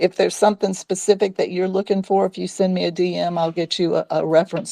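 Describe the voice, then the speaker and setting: Recorded dry and close with no echo, a woman speaks at a fairly quick pace. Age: 60s. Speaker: sex educator and talk host. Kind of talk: casual chat. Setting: live audio space on social media.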